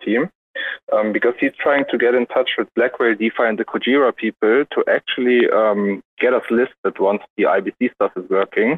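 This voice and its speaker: A man's voice at a moderate pace. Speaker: crypto community member. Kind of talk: casual chat. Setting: online audio room.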